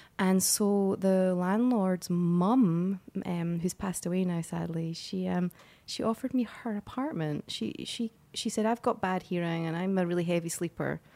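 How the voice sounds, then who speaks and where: Her tone dark and mellow, a woman speaks at a medium pitch and a moderate pace with ordinary pitch variation. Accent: Scottish. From Scotland. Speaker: actress. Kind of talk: casual interview chat.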